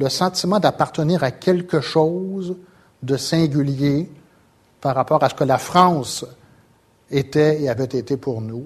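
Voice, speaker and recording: At a very slow pace with long, frequent pauses, a man speaks in a somewhat breathy voice of fairly high pitch and ordinary pitch variation. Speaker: sociology professor. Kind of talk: lecture. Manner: halting.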